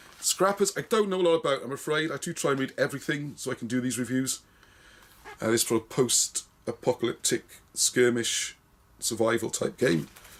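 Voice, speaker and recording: A fairly quick pace in a British accent. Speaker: wargaming magazine reviewer. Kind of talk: casual video review. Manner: fast.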